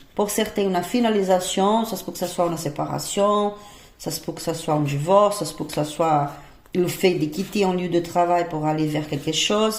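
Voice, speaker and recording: Against noticeable background noise and audible room echo, a speaker with a non-native accent talks at a moderate pace with ordinary pitch variation. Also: woman. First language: not French (speaking French). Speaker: tarot reader. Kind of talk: tarot reading. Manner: halting, many hesitations.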